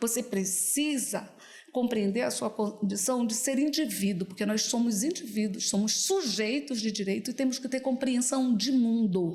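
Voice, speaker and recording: A woman speaks at a fairly slow pace in an animated tone, her pitch fairly high. Her pitch variation is ordinary and her loudness very even. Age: 60s. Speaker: political candidate, public defender. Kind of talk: videocast interview.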